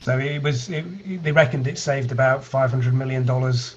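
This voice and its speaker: With a British accent, a man talks at medium pitch and a moderate pace amid noticeable background noise. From UK. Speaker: data analytics company founder. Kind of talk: online meetup presentation.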